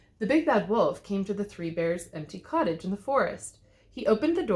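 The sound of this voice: The passage comes in an unforced reading voice.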